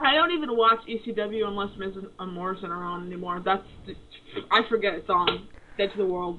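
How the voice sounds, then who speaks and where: In an ordinary speaking voice, a woman of medium pitch talks at a fairly quick pace with ordinary pitch variation and big swings in loudness. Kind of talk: casual radio show talk.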